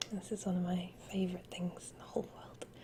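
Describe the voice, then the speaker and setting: Whispering at a moderate pace. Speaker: ASMR creator. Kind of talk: ASMR show and tell. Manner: soft-spoken.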